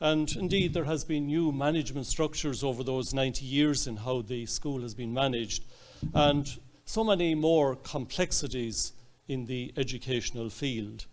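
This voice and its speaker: Moderate pace and ordinary pitch variation with an Irish accent. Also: man, fairly high pitch for a man. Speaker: archbishop. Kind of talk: speech. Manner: halting, many fillers.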